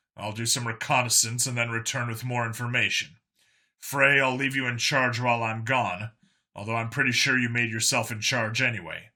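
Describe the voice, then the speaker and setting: A man's put-on character voice at medium pitch, fairly quick, in a very clean recording with a silent background. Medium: read story. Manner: blunt, commanding.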